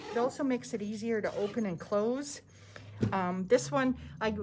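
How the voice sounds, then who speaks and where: A somewhat breathy woman talks at a moderate pace with ordinary pitch variation, light background noise audible behind her. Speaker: sewing instructor. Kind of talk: tutorial. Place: classroom. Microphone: phone near.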